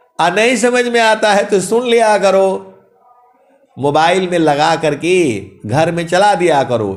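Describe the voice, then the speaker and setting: Animated in tone, a man with a high pitch and lively intonation speaks with very even loudness and long, frequent pauses, in a room with audible echo. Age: 60s. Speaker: spiritual preacher. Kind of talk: sermon.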